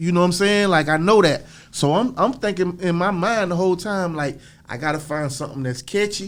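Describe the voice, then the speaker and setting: At a fairly quick pace, a man with a high pitch speaks on a very clean recording with a silent background. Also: ordinary pitch variation. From Florida. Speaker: rapper. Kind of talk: interview. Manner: casual, filler-heavy.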